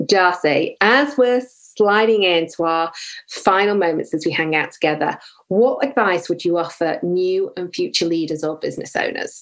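A woman talks at a moderate pace with medium pitch and lively intonation. The background is quiet. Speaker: podcast host. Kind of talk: casual interview conversation. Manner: animated, laughs often.

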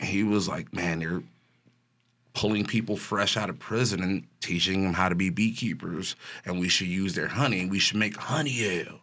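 Fairly low-pitched man with an American accent and a bright, sharp tone, at a moderate pace, on a very clean recording with a silent background. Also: ordinary pitch variation. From Chicago. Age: 40s. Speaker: brewer. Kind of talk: casual chat. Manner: passionate.

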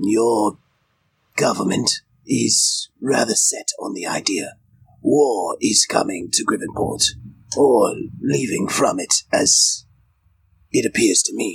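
Using a raspy, put-on character voice, a man talks at a fairly slow pace with long, frequent pauses. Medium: actual play. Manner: formal, articulate.

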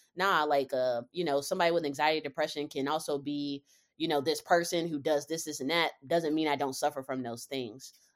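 A woman with an American accent and a very deep, low pitch, fairly even intonation, a fairly quick pace, hardly any pauses, on a very clean recording with a silent background. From Charlotte, North Carolina. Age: 30s. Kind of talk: casual chat.

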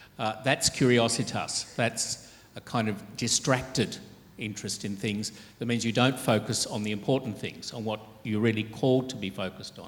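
Speaking at a moderate pace and a medium pitch, a man delivers his words in a monotone, flat way. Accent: Australian. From Australia, Sydney. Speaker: archbishop. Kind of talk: interview on stage.

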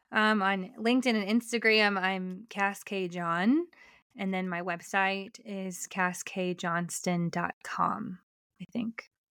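In a very clean recording with a silent background, a woman speaks at a very slow pace in a medium pitch, her tone bright and sharp and her intonation fairly even. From US, Colorado (Denver suburbs). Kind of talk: casual interview chat.

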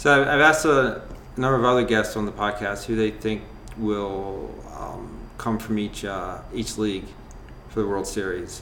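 A man's fairly low voice at a moderate pace, with ordinary pitch variation and audible room echo. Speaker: podcast host. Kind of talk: casual chat.

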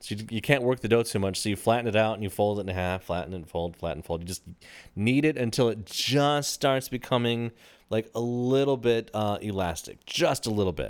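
An ordinary speaking voice from a man with an American accent, medium pitch with ordinary variation and a fairly quick pace. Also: very clean recording, silent background. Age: 30s. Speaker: podcast co-host. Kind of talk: casual chat.

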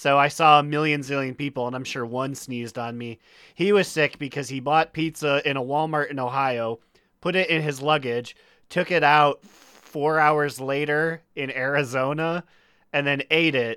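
On a very clean recording with a silent background, a man speaks at a moderate pace in a fairly high, bright, sharp voice with fairly even intonation. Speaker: podcast host.

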